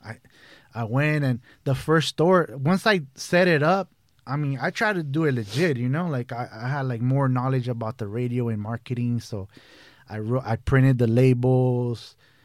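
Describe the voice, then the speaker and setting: A man with an American accent speaks in an ordinary speaking voice at medium pitch and a moderate pace, with ordinary pitch variation. The recording is very clean, with a silent background. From Brazil (São Paulo) then San Fernando Valley, Los Angeles from age 11. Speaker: edibles baker and business owner. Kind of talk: casual chat. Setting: studio.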